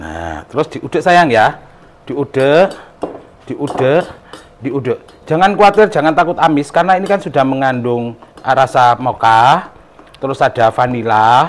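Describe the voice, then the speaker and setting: Over noticeable background noise, a man with an East Javanese accent speaks at a fairly slow pace with a fairly high pitch and lively intonation. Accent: East Javanese Indonesian. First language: Javanese (speaking Indonesian). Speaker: cooking vlogger. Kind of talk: cooking tutorial.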